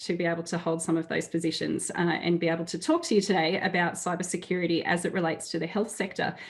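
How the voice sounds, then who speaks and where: The speaker has an Australian accent and a fairly quick pace. Noticeable background noise runs underneath. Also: woman. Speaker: cybersecurity executive, keynote speaker. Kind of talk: conference keynote talk. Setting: webinar.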